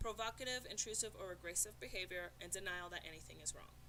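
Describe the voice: A woman speaks at a fairly quick pace.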